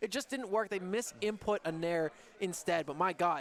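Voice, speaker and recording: Loud and high-pitched, a man talks at a moderate pace. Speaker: esports commentator. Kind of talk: live commentary. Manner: animated.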